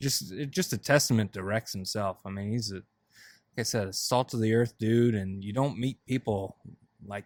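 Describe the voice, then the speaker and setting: In a normal speaking voice, a man talks at a moderate pace with a fairly low pitch and ordinary pitch variation, his sound dry and close with no echo. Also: very clean recording, silent background. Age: young. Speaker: podcast host. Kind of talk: casual chat.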